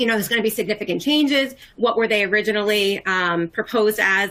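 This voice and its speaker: A woman with a medium pitch and a bright, sharp tone speaks at a fairly quick pace with fairly even intonation. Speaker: tax expert presenter. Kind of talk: webinar presentation. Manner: fast.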